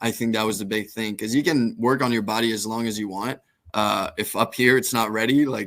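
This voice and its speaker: With a slight French Canadian accent, a man talks at a fairly quick pace. His intonation stays fairly even. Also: medium pitch for a man. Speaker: professional baseball pitcher. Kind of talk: podcast interview.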